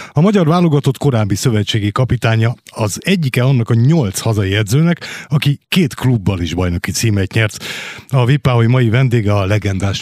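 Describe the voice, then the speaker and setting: A man with a plain, everyday voice speaks at a medium pitch and a moderate pace, with lively intonation and very even loudness. The sound is dry and close with no echo. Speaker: radio host. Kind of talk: radio interview. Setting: studio. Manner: formal.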